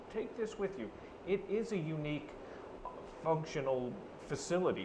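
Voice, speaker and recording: A man at a fairly quick pace with very wide pitch swings, audible room echo and noticeable background noise. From Ireland. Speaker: newspaper reporter. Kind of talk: casual chat.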